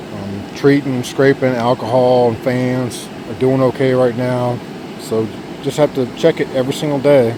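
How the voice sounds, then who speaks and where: Against noticeable background noise, a man speaks in a monotone with flat intonation. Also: medium pitch for a man, moderate pace. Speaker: giant pumpkin grower, garden vlogger. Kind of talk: casual garden vlog walkthrough. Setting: outdoors in pumpkin patch.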